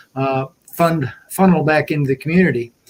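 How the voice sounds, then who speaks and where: A man with a Tennessee accent at a moderate pace. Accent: Southern US (Tennessee). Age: 70s. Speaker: race organizer. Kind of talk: online meeting talk.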